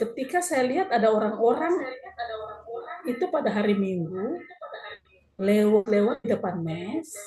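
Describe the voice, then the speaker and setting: A woman's fairly high voice with very wide pitch swings, a moderate pace and long, frequent pauses. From South Sulawesi, Bulukumba. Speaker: pastor. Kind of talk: testimony. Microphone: poor connection.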